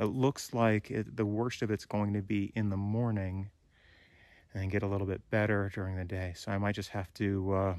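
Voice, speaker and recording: With fairly even intonation, a man with a fairly low voice speaks over a quiet background. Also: dry sound with no echo. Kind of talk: casual vlog chat. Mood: briefly somber. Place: forest. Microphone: phone near.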